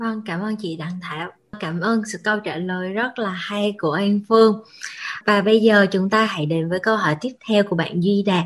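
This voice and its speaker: In a plain, everyday voice, a woman speaks at a fairly slow pace and medium pitch with fairly even intonation. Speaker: MC. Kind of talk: hosting, introducing the show.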